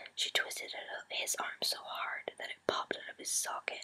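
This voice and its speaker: A woman whispers at a fairly slow pace. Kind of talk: whispered story reading to camera. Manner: soft, whispered.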